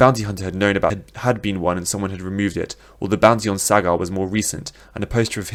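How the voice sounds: Intonation stays fairly level in this natural reading voice.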